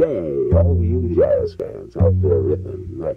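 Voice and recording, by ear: Putting on a character voice, a man speaks very deep and low at a fairly slow pace.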